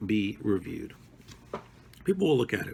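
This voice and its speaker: The speaker has a slight Brooklyn accent. The intonation is lively. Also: man. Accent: slight Brooklyn accent, non-rhotic. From New York (Brooklyn). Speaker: teacher. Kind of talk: lesson for adult ESL students. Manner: casual, self-correcting, repetitive.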